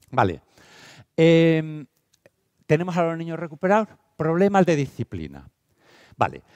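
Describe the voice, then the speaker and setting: A man speaks at a moderate pace in a fairly high pitch, with an animated tone. The sound is dry with no echo over a quiet background. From Spain, Castile and León (Valladolid). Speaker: teacher and educational speaker; teacher, speaker. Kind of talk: conference talk. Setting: stage with audience. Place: hall. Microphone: headset.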